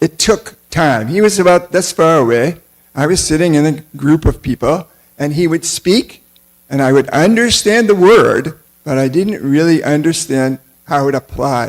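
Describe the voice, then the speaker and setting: A man with an American accent speaks in an ordinary speaking voice, his pitch fairly high. He keeps a moderate pace with lively intonation. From United States. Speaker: temple lecturer on scripture. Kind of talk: religious class lecture.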